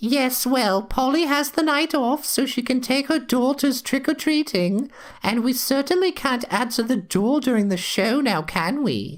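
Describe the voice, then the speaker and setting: In a put-on character voice, a female-sounding speaker talks at a moderate pace and a high pitch, with hardly any pauses. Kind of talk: comic overacting. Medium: audio drama. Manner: prim, teasing, chatty.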